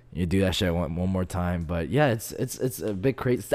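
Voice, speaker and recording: Here is a man with a plain, everyday voice at a fairly low pitch. He keeps a moderate pace and lively intonation. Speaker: podcast host. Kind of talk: casual chat. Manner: laid-back, casual.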